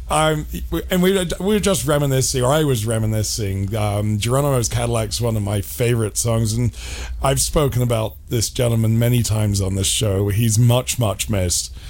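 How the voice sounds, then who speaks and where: Lively intonation from a man with a fairly low-pitched voice, at a moderate pace and very even loudness, over noticeable background noise. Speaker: radio host. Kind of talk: casual chat. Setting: studio.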